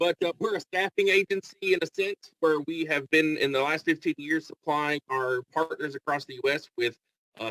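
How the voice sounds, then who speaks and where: In a Kentucky accent, a man with a fairly high pitch and a bright, sharp tone talks at a moderate pace with hardly any pauses and ordinary pitch variation, the sound dry and close with no echo. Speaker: staffing agency representative. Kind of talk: networking pitch.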